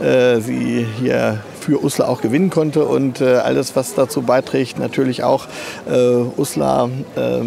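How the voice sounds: Vocal fry and fairly even intonation at a moderate pace, with clear background noise. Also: man.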